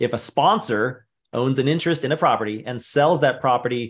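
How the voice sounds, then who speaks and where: An unremarkable speaking voice from a man, medium in pitch, with ordinary pitch variation and a quiet background. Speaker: webinar host. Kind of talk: live Q&A webinar moderation. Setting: online webinar. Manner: brisk, rapid-fire.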